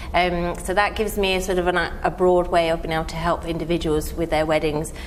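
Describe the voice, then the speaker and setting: Speech comes at a fairly quick pace with monotone, flat intonation. Room echo is audible and background noise is noticeable. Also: woman. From southern England, near Windsor. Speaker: event planner. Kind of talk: interview.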